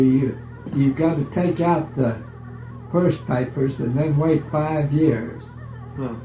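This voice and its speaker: Music plays behind a man whose fairly high voice moves with ordinary pitch variation at a fairly slow pace. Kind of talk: family oral history interview. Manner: casual, conversational.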